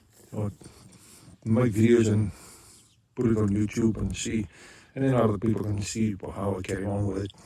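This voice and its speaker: A man's medium-pitched, somewhat breathy voice with a dark, mellow tone. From South Africa. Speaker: YouTuber, hobby tractor restorer. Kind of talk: casual vlog. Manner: halting, many fillers.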